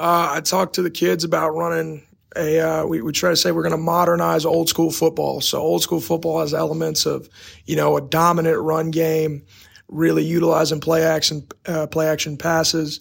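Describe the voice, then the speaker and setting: On a very clean recording with a silent background, a man talks at a moderate pace with an American accent. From Texas. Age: 20s. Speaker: football coach. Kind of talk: casual interview.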